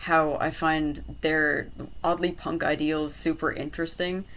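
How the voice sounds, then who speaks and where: With an Irish accent, a woman talks in a very deep, low voice. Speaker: art and design college applicant. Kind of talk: casual talk to camera. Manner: hesitant, many fillers.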